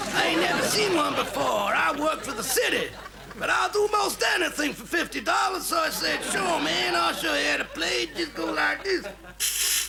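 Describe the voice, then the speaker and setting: Against clear background noise, a man puts on a drawling character voice at a moderate pace. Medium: comedy sketch. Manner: drawling, casual, says "man".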